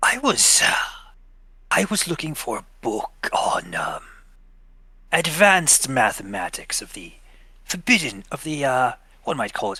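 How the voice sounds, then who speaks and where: Using a put-on character voice, a man speaks at a moderate pace with a fairly high pitch and long, frequent pauses. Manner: put-on disguise voice, halting.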